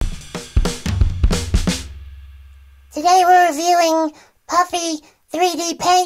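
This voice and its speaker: Music plays in the background as a man does a squeaky put-on character voice at an extremely high pitch. He speaks very slowly with long, frequent pauses. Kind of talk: comedic product review. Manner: rambling, hesitant.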